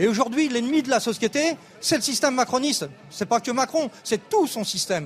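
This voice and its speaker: With lively intonation, a man speaks at a fairly quick pace and an extremely high pitch. There is noticeable background noise. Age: 60s. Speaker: retired protester. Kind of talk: live interview. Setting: outdoors at a street protest.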